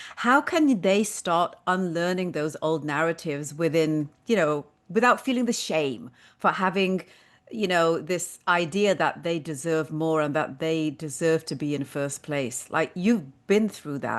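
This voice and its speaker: This woman's fairly low voice carries a British accent. Her delivery is fairly slow, with ordinary pitch variation. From Britain. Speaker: podcast host. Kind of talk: podcast interview.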